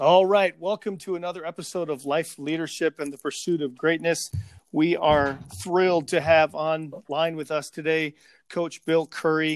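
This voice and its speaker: A man with a normal speaking voice and an American accent, fairly high in pitch, at a moderate pace with fairly even intonation, on a very clean recording with a silent background and a dry, close sound with no echo. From Chicago area. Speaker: podcast host. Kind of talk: interview.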